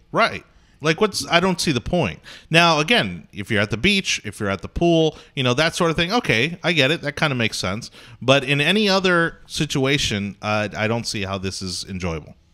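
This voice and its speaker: A man's fairly high, bright, sharp voice with an American accent, very wide pitch swings and a moderate pace, on a very clean recording with a silent background. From Florida. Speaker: morning show co-host. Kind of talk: casual chat.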